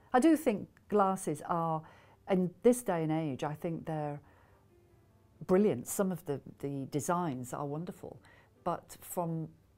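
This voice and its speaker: The voice has a dark, mellow tone and a Scottish accent. It moves at a fairly slow pace. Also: woman, very clean recording, silent background. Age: 60s. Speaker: patient giving a testimonial. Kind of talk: testimony. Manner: casual, with hesitations.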